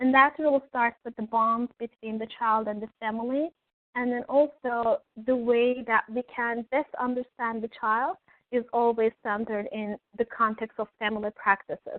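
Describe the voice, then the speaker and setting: A woman talks in a Turkish accent at a moderate pace. Her voice sits fairly high, and her intonation stays fairly even. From Turkey. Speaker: early childhood education professor. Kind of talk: webinar presentation. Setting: online webinar. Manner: hesitant, frequent filler words.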